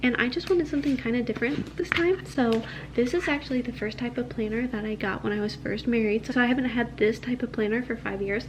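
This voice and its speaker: Noticeable background noise sits behind this recording. A woman with a fairly high pitch talks at a fairly quick pace. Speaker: lifestyle vlogger. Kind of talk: product review. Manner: soft-spoken; casual.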